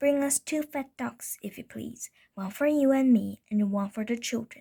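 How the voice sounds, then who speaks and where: A woman performs a put-on character voice pitched high. She keeps a moderate pace. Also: very clean recording, silent background. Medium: read story. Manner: warm, gentle.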